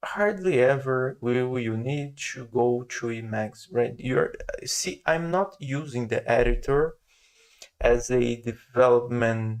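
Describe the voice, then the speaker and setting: A non-native accent at a very slow pace. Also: man, medium pitch for a man, ordinary pitch variation. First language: not English. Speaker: software developer. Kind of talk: tutorial. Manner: slow and steady; halting, many fillers.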